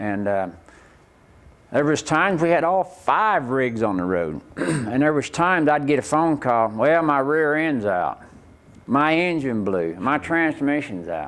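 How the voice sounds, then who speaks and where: Fairly slow speech in an Oklahoma accent, with very wide pitch swings. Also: man, fairly high pitch for a man. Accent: Oklahoma rural Southern US. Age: 60s. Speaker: rodeo performer. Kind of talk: interview.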